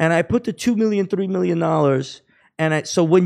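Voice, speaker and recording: With a New York accent, the speaker uses lively intonation at a moderate pace against a quiet background. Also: man. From Queens, New York. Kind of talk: casual interview.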